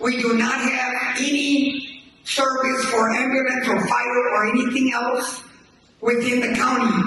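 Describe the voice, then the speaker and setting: Raised, projected male voice at an extremely high pitch, American accent, monotone, flat intonation, audible room echo and noticeable background noise. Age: 80s+. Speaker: community member. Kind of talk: town hall testimony.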